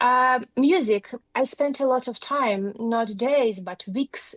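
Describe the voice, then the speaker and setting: Her voice comes through dry and close, without any echo. The woman's pitch varies in an ordinary way. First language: not English (English is third language). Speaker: journalism academy graduate. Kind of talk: interview.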